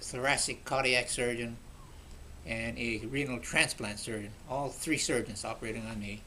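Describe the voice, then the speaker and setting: Medium pitch from a male speaker, moderately paced, audible echo from the room around him. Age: 80s+. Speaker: retired surgeon, cancer survivor. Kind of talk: testimony. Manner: halting.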